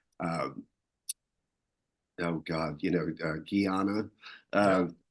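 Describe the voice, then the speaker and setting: This man talks at a very slow pace, his very deep, low voice keeping a fairly even intonation. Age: 60s. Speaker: founder of an entertainment critics' society. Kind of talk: casual interview. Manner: halting, many fillers.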